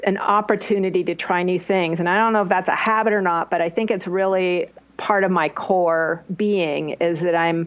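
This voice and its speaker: Using a plain, everyday voice, a woman speaks at a fairly slow pace with very even loudness. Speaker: online business strategist. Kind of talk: interview answer.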